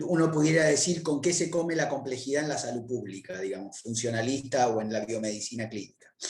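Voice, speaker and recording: Speaking at a fairly quick pace with hardly any pauses, a man uses lively intonation at a medium pitch. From Argentina, Buenos Aires. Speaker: public health researcher, lecturer. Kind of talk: academic lecture. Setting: virtual conference. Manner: fast; hesitant, many fillers.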